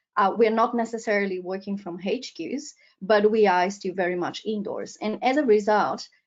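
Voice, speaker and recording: Speaking at a moderate pace with a Portuguese accent, a woman uses a fairly high pitch and ordinary pitch variation. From Brazil. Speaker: professor. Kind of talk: lecture. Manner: hesitant, frequent ums.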